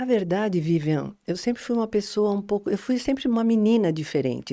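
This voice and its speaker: A woman with a dark, mellow tone speaks with lively intonation in a very clean recording with a silent background. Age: 60s. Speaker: coach and trainer. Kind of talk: interview.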